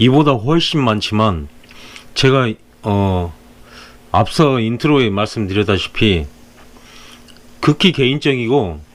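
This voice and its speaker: Very wide pitch swings run through this man's medium-pitched speech. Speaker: interior film installer. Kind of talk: tutorial. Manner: hesitant, many filler sounds.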